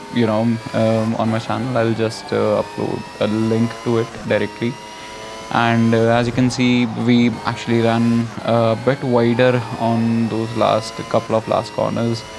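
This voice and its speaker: Against noticeable background noise, a man with an Indian accent speaks with monotone, flat intonation and very even loudness. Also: medium pitch for a man, fairly slow pace. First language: not English. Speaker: gaming YouTuber. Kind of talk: gameplay commentary. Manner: halting, many fillers.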